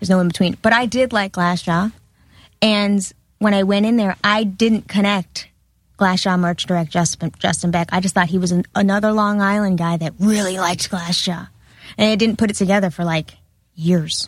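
On a very clean recording with a silent background, a woman's somewhat breathy, medium-pitched voice moves at a moderate pace with fairly even intonation. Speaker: former reality TV cast member. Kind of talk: casual chat.

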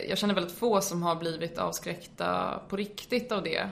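Through noticeable background noise, a woman's fairly low voice comes across with fairly even intonation. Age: 20s. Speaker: medical student and drug education lecturer. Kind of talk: informative interview.

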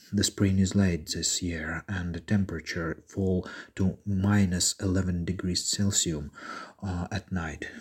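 A man speaks fairly slowly in a very deep, low voice that is somewhat breathy and monotone. The recording is very clean, with a silent background. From eastern Ukraine, Severodonetsk. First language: Ukrainian or Russian. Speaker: war refugee. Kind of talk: testimony.

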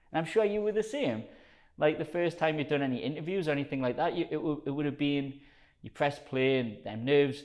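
The speaker has a strong Geordie accent and lively intonation. The pace is fairly quick. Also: man. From northern England, South Shields. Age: 30s. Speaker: personal trainer. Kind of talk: casual chat. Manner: energetic.

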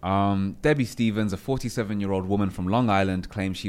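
A man speaks in a normal speaking voice at a fairly low pitch. His pitch varies in an ordinary way. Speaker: podcast team member. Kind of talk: reading aloud.

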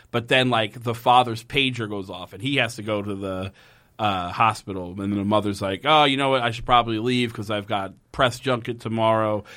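A man with a plain, everyday voice talks at a medium pitch and a fairly quick pace, his intonation fairly even but his loudness swinging widely. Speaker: podcast host. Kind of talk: casual comedic chat. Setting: studio.

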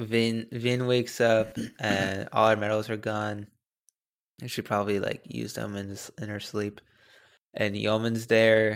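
A man's fairly low voice, monotone and flat, at a fairly slow pace in a very clean recording with a silent background. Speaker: podcast co-host. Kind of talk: casual chat.

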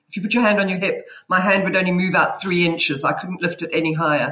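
In a South African accent, a woman with a fairly low voice talks at a very fast pace with fairly even intonation. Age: 50s. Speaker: guest sharing menopause experience. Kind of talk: casual chat. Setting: video call.

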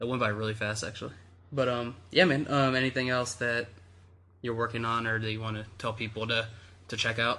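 This man talks at a fairly quick pace with a bright, sharp tone. His intonation stays fairly even. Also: medium pitch for a man. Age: 20s. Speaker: podcast host. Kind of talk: casual chat.

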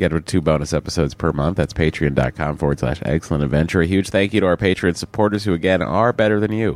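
Very deep and low with vocal fry, a man's voice runs at a very fast pace with hardly any pauses and ordinary pitch variation. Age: 40s. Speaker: podcast co-host. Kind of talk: casual chat.

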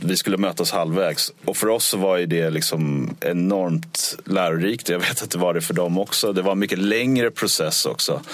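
A man speaks at a moderate pace with hardly any pauses, his pitch very deep and low. His pitch varies in an ordinary way, and there is noticeable background noise. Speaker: touring band musician. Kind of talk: casual interview. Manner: halting, repeats words.

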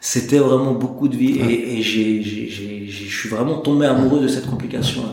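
Noticeable background noise and audible room echo around a man at medium pitch, with a fairly slow pace and fairly even intonation. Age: 30s. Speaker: independent watchmaker. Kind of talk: interview. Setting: watchmaking workshop. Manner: hesitant, many repetitions.

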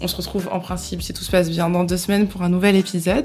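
A woman's fairly low voice with fairly even intonation over noticeable background noise. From France, Bourges. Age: 30s. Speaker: podcast host. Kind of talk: casual chat.

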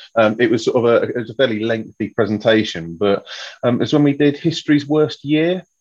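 In an unremarkable speaking voice, a man at medium pitch talks at a fairly quick pace with lively intonation against a quiet background. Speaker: podcast co-host. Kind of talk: casual chat.

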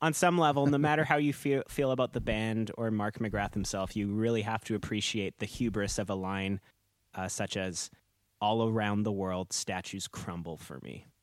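A man's fairly low voice, an ordinary speaking voice, with lively intonation at a moderate pace, in a very clean recording with a silent background and a dry, close sound with no echo. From Canada, Manitoba early childhood. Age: 30s. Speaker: podcast co-host. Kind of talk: casual chat.

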